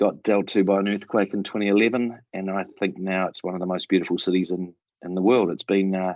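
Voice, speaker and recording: Someone with a New Zealand accent talks at a fairly quick pace with fairly even intonation, in a dry, close sound with no echo. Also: man. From New Zealand, Christchurch. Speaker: project management mentor. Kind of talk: panel introduction.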